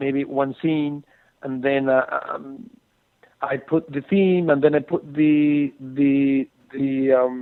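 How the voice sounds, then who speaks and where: This man's voice sits at a fairly high pitch, and he speaks with a Spanish accent. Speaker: film composer. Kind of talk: interview. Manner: halting, many fillers.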